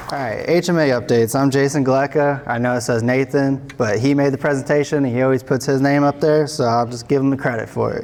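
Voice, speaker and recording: Over noticeable background noise, a man with a fairly high pitch rushes along at a very fast pace with hardly any pauses and fairly even intonation. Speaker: state transportation materials engineer. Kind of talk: conference presentation.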